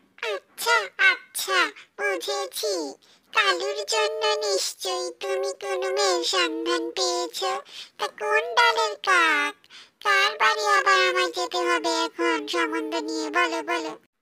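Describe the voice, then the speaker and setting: The cartoonish character voice moves at a very slow pace. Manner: brisk, talkative.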